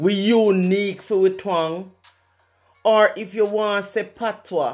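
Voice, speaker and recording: A woman speaks with a Jamaican accent at a very slow pace. Faint music plays in the background. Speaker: poet. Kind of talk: poetry reading. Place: home room. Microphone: studio mic.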